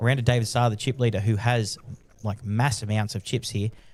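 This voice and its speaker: Somewhat breathy, a man speaks at a fairly quick pace and a medium pitch. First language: not English. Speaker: poker commentator. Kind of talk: live commentary. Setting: commentary booth.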